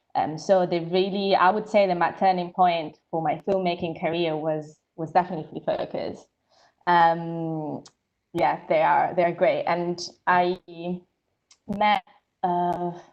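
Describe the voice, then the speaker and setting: A woman with an Italian accent speaks at a fairly low pitch and a fairly slow pace. Her intonation is monotone and flat, with long, frequent pauses. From Italy. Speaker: filmmaker and photographer. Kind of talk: live Q&A panel. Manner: hesitant with many fillers.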